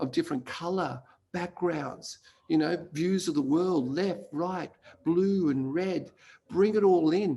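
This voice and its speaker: A man's fairly high voice in a dark, mellow tone at a fairly slow pace, with ordinary pitch variation. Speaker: placemaking consultant. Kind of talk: conference talk.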